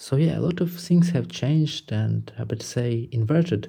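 A man speaks with a Ukrainian accent in a somewhat breathy voice with a dark, mellow tone. The recording is very clean, with a silent background. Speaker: musician. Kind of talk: recorded statement. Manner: halting.

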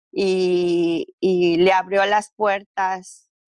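Recorded with a dry, close sound and no echo, a woman speaks at a medium pitch with monotone, flat intonation. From Mexico City. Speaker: business owner. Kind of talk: interview testimony.

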